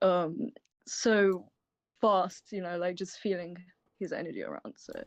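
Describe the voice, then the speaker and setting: At a fairly slow pace, a woman speaks at a medium pitch with ordinary pitch variation and big swings in loudness. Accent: British. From UK. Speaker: ritual co-host. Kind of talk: livestream ritual presentation. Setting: online livestream.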